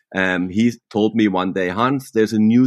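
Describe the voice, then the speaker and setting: A man in a German accent talks at a moderate pace with ordinary pitch variation. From southwestern Germany. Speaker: professional mountain biker. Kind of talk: interview. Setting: remote call from home.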